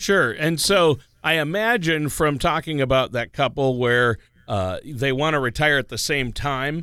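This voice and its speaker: A man speaks with a bright, sharp tone at a moderate pace and with ordinary pitch variation. The recording is very clean, with a silent background. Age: 50s. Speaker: radio co-host. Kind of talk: scripted narration; casual chat.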